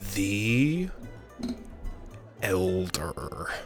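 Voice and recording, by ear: A man's put-on character voice, fairly low and rumbling, with clear music in the background.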